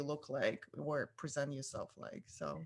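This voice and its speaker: A woman with a Russian accent at a moderate pace. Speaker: photographer. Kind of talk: casual interview chat.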